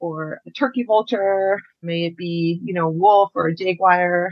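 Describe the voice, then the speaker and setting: A woman with an American accent has an ordinary speaking voice at a medium pitch. Her intonation stays fairly even and her pace is fairly slow. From Mexico, Chihuahua, raised between Mexico and US. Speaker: conservation program director. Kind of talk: interview. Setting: video call.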